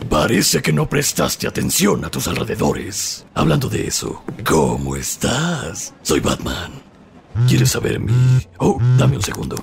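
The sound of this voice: A man's cartoonish character voice at a medium pitch, fairly slow pace, big pitch swings, and vocal fry.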